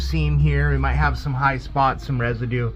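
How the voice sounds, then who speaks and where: With audible room echo and noticeable background noise present, the man keeps a moderate pace. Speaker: bowling alley mechanic. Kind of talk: tutorial. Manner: casual, hesitant with fillers.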